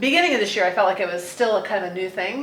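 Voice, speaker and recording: A woman speaks in a room with audible echo. Noticeable background noise runs underneath. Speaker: consulting firm president and talent expert. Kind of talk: podcast conversation.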